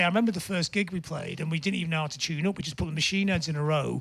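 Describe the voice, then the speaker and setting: A man with a Lancashire accent in an animated tone with ordinary pitch variation. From northern England, Blackpool. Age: 60s. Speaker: punk musician and music writer. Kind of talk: interview chat. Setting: studio, live show.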